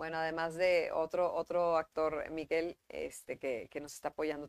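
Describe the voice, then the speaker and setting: An unremarkable speaking voice comes through. The sound is dry and close with no echo, in a very clean recording with a silent background. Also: woman. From Mexico, Monterrey. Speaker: actress. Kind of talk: casual chat. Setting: live stream.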